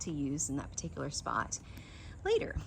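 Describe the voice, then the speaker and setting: A woman speaks with vocal fry. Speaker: landscape designer. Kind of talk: walking tour. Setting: outdoors. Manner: animated.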